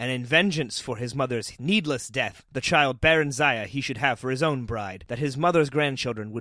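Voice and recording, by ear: Someone is reading aloud in a natural voice. Their pitch variation is ordinary.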